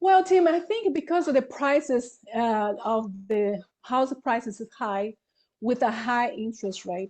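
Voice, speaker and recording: Over a quiet background, a woman speaks with a high pitch. Her intonation is lively and her pace fairly slow. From Brazil. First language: Portuguese. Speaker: real estate broker. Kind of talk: interview. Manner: halting.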